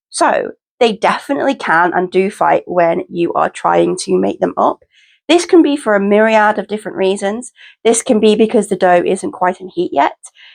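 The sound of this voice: Over a quiet background, a woman puts on a raspy character voice at medium pitch and a moderate pace.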